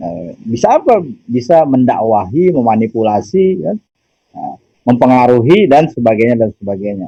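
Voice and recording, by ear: Speaking at a moderate pace, a man with a medium-pitched voice, a dark, mellow tone and a slightly husky edge makes big pitch swings.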